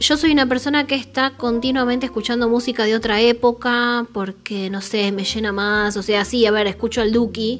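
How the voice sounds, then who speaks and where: With a Rioplatense accent, a woman talks at a moderate pace with hardly any pauses, a fairly high pitch and fairly even intonation. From Argentina, Buenos Aires (Saavedra). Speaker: podcast host. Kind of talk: casual chat.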